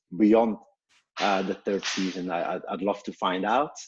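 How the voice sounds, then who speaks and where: Speaking at a moderate pace with a Belgian accent, a man keeps his fairly low pitch at fairly even intonation. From Belgium. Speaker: startup co-founder and CEO. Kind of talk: webinar self-introduction. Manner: halting, many fillers.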